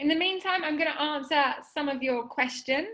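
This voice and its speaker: A woman's raised, projected voice in an English accent, extremely high in pitch, bright and sharp, with ordinary pitch variation. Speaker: webinar presenter, hotel software specialist. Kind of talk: webinar presentation. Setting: video call.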